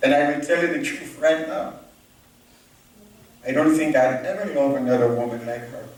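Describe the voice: Strong room echo surrounds a man speaking at a moderate pace, his tone slightly mellow and his intonation fairly even.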